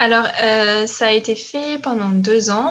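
A woman is speaking. Her pitch sits fairly high. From France. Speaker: former doctoral student. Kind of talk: casual interview.

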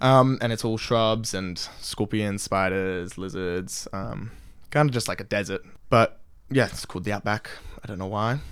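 A man with an Australian accent speaks at a moderate pace. His pitch is fairly low, with ordinary variation. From Australia, Sydney. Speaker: exchange student. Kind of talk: casual chat.

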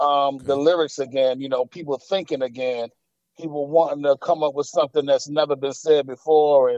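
A man speaks at a fairly quick pace in a fairly high pitch, his tone dark and mellow. His intonation is flat and monotone, and the sound is dry and close with no echo. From Atlanta, Georgia (born in Queens, New York). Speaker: rapper. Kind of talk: interview. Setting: phone call. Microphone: phone line.

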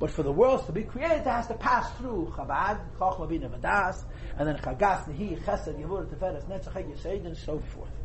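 A man at a moderate pace with hardly any pauses, amid audible room echo and noticeable background noise. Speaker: Torah teacher. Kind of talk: lecture. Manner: whispering.

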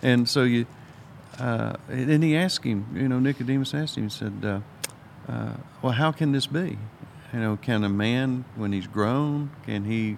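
A man with a Southern US accent, medium pitch, ordinary pitch variation, and a moderate pace. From US South, Alabama. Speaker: Bible study co-host. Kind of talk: Bible study discussion.

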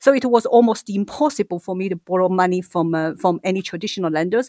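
In a Chinese accent, a woman talks at a fairly quick pace and a medium pitch with lively intonation and a dry, close sound with no echo. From China. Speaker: startup co-founder. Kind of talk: casual interview chat.

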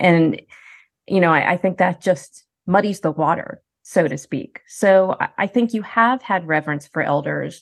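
Using a plain, everyday voice, a woman with a fairly low pitch speaks at a moderate pace with ordinary pitch variation. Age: 50s. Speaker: professor. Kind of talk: interview.

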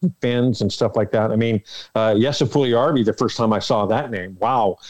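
A man with a Canadian accent and a normal speaking voice, medium in pitch, at a moderate pace against a quiet background. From Canada, Toronto. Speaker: arena public address announcer. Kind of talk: casual interview.

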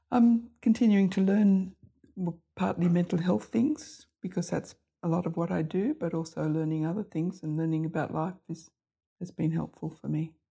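With an Australian accent, a woman speaks at a moderate pace in a fairly low pitch, her dark, mellow tone somewhat breathy and her pitch variation ordinary. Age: 70s. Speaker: GP. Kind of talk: group lunch conversation.

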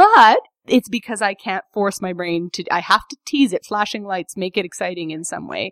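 With a plain, everyday voice, a woman speaks at a moderate pace and medium pitch, with ordinary pitch variation, big swings in loudness, and a dry, close sound with no echo. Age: 30s. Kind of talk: casual interview conversation.

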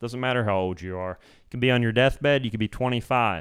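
We hear a man's voice. It rises and falls in pitch to an ordinary degree. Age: 30s. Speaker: wellness podcast host and coach. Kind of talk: solo podcast monologue. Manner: casual, halting with fillers.

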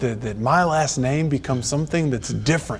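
A man talks with a Texan accent in a somewhat breathy voice. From Texas. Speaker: golf association executive. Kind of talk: faith testimony interview.

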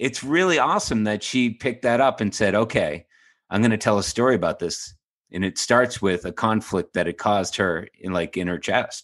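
An ordinary speaking voice from a man, medium-pitched and at a moderate pace, over a quiet background. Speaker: podcast co-host. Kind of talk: analytical discussion.

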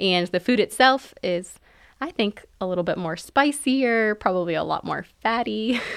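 Using a plain, everyday voice, a woman with an American accent speaks at a fairly high pitch and moderate pace with lively intonation. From New York, raised by Egyptian family. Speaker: physician assistant. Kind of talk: interview.

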